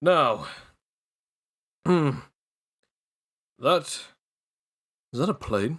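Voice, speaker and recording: On a very clean recording with a silent background, a man does a raspy, high-pitched put-on character voice with lively intonation. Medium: actual play. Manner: formal, courtly.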